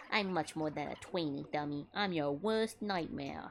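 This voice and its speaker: The voice is a put-on character voice at a middle pitch. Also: moderate pace. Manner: menacing, put-on.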